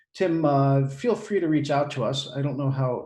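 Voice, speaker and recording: A man's somewhat breathy, dark, mellow voice, fairly high in pitch, with ordinary pitch variation at a moderate pace. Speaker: webinar host. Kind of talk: webinar Q&A.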